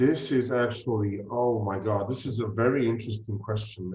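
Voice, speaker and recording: A man speaks at a medium pitch and a moderate pace. His voice is somewhat breathy, with monotone, flat intonation. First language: Czech. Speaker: fertility doctor. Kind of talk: interview. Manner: hesitant, many fillers.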